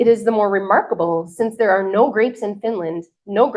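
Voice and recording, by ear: Over a quiet background, the text is read aloud in a natural voice with ordinary pitch variation.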